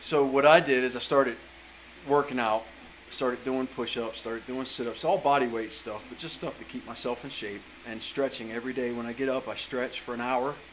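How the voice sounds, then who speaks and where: Through noticeable background noise, a man with a Southern US accent talks fairly quickly at a medium pitch with fairly even intonation. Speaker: chainsaw carver. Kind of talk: casual vlog advice talk. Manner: casual, with fillers and self-corrections.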